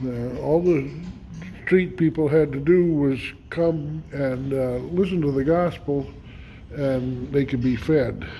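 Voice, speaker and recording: Very slowly, a man speaks at a fairly high pitch. Noticeable background noise and audible room echo accompany him. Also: ordinary pitch variation. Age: 70s. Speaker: homesteader. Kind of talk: casual vlog monologue. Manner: halting, many fillers.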